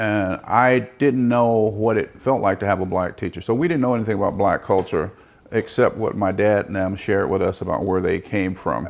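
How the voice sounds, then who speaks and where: With an American accent, a man at fairly low pitch speaks at a moderate pace with ordinary pitch variation. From Peoria, Arizona. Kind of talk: oral history interview answer. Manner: hesitant, conversational.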